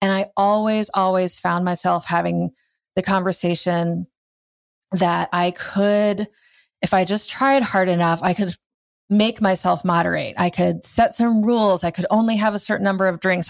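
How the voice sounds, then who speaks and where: This woman has a normal speaking voice at medium pitch, with an American accent and fairly even intonation. She keeps a moderate pace and very even loudness in a very clean recording with a silent background. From US Midwest (Iowa). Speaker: writer, yoga and meditation teacher. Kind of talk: interview.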